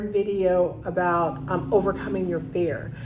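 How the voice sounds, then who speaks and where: A woman talks at a fairly slow pace in a medium pitch with ordinary pitch variation. There is audible room echo along with noticeable background noise. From New York. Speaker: call center business owner and coach. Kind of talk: casual video talk to viewers.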